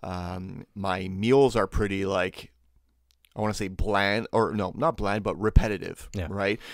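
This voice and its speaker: An unremarkable speaking voice at a moderate pace on a very clean recording with a silent background. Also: man. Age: 30s. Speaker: podcast host. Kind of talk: casual chat.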